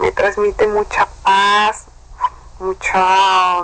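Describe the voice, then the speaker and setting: Noticeable background noise runs beneath speech delivered at a very slow pace. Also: woman. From Veracruz, Mexico. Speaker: listener contributor. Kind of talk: recorded personal message.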